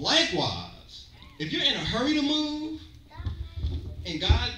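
Noticeable background noise and audible room echo surround a man speaking in an animated tone. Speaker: preacher. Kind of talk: sermon with call-and-response. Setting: church. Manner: animated, exclamatory, rhythmic pulpit delivery with interjections; audience-interactive, pausing for amens. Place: church. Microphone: pa.

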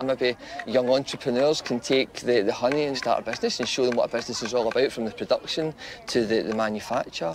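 Over noticeable background noise, a man speaks very fast with fairly even intonation, the sound dry with no echo. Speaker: school maths teacher. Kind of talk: interview answer. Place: garden.

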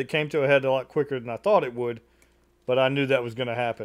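Behind the speech, the background is quiet. A man delivers his words at a very fast pace. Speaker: reaction video host. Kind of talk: casual reaction commentary. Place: home room. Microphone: studio mic.

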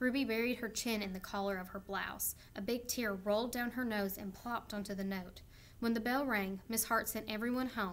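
Natural-sounding reading aloud

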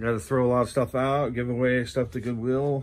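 A man with fairly even intonation talks at a moderate pace, light background noise behind him. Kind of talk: casual vlog chat. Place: shop. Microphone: phone near.

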